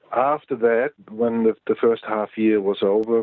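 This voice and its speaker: With a German accent, a man speaks at medium pitch and a moderate pace. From East Germany. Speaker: Cold War veteran. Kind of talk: interview answer.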